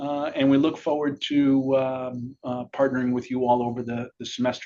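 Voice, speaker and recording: The man's tone is dark and mellow, and he talks at a moderate pace. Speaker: sales executive. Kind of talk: guest lecture. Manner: many filler words.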